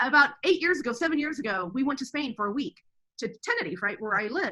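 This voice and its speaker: A woman's high-pitched, raised and projected voice, very fast, with very wide pitch swings and a bright, sharp tone. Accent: American. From Texas. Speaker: homeschooling mother. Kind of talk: interview conversation.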